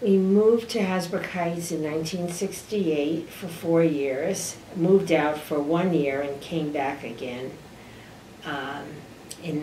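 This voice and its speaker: A woman with a New Jersey accent and a very deep, low pitch, at a fairly slow pace with ordinary pitch variation, amid noticeable background noise and audible room echo. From US Northeast, New Jersey (Garfield). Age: 70s. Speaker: retired town clerk. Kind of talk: oral history interview. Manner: talkative.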